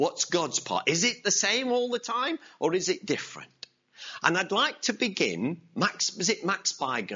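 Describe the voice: What you hear is plain reading aloud.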